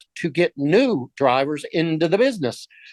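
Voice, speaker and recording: With a Texan accent, a man talks at a moderate pace, his fairly high pitch carried by lively intonation. The sound is dry and close with no echo, over a quiet background. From Texas, Dallas. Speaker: business owner and EV charger reseller. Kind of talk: presentation. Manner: casual, with fillers.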